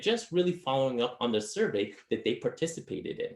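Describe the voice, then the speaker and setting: A man's high voice at a very fast pace, with very wide pitch swings. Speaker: marketing consultant presenter. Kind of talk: webinar presentation.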